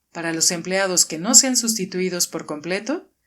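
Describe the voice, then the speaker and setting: A woman with a plain, everyday voice, medium pitch, moderate pace and ordinary pitch variation. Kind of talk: audiobook reading.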